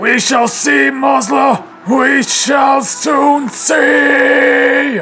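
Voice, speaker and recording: Shouting in a put-on character voice, the speaker uses a fairly high pitch and a very slow pace against clear background noise. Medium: solo performance. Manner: shouting, resolute.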